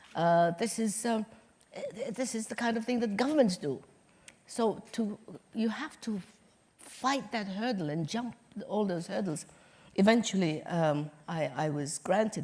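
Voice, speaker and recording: Somewhat breathy, a woman speaks at a fairly slow pace with lively intonation. Her pauses are long and frequent. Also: medium pitch for a woman. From Somaliland. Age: 70s. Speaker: nurse, hospital founder, former foreign minister. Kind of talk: interview answer.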